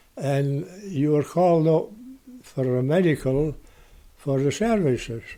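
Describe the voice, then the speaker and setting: Speaking at a very slow pace with a Shetland accent, a man uses a fairly high pitch, ordinary pitch variation and a dark, mellow tone. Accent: Shetland Scots. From Shetland (Lerwick). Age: 90s. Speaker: retired lighthouse keeper. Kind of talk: interview storytelling. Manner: halting.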